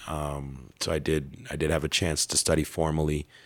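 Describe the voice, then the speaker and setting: A man speaks in a very deep, low, raspy voice with vocal fry. His intonation is monotone and flat, and his pace is moderate. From Canada. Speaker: preacher and evangelist. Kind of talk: interview conversation, casual. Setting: interview in Ethiopia.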